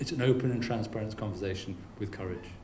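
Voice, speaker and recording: With audible room echo and noticeable background noise, a man talks at a fairly quick pace and fairly low pitch, showing ordinary pitch variation. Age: 50s. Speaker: keynote speaker. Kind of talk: audience Q&A. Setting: business lunch with audience.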